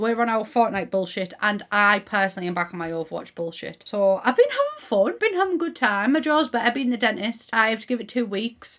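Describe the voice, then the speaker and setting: Upbeat, lively speech in a Teesside accent at a fairly quick pace, with hardly any pauses. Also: woman, fairly high pitch for a woman. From Middlesbrough, England. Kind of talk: casual gaming commentary to camera. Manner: chatty, upbeat.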